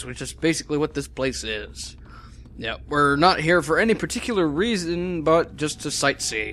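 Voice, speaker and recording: A man at a moderate pace, with lively intonation over noticeable background noise. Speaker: Let's Play commentator. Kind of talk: casual gameplay commentary.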